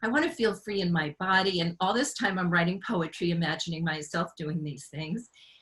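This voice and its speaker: A woman's fairly low voice goes at a fairly quick pace, with noticeable background noise behind it. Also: ordinary pitch variation. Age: 60s. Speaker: author and marathon runner. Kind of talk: personal testimony on a panel.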